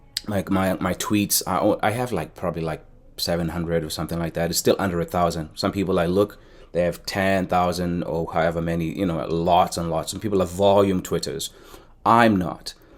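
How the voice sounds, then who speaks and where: Recorded very cleanly with a silent background, a man with a very deep, low pitch speaks at a fairly quick pace with fairly even intonation. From South Africa, Cape Town. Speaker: educator, soccer coach and YouTuber. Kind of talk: tutorial. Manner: hesitant, many fillers and restarts.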